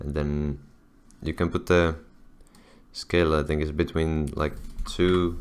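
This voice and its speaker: At a fairly slow pace, a man speaks at a very deep, low pitch. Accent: non-native. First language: not English. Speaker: video editing tutorial creator. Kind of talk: tutorial. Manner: halting, many fillers and restarts; casual.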